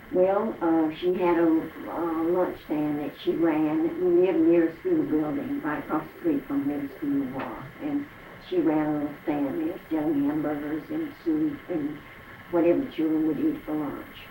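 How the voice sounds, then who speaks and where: With an American accent, the speaker keeps a moderate pace amid audible room echo and noticeable background noise. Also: woman. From Arkansas, US South. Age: 80s+. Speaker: elderly interviewee recalling the Depression. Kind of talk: oral history interview. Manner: halting.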